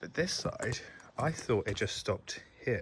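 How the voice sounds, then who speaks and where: Someone speaks with an English accent at a moderate pace. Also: man. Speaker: homeowner vlogger. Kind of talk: casual walkthrough vlog. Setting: outdoors. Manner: quiet.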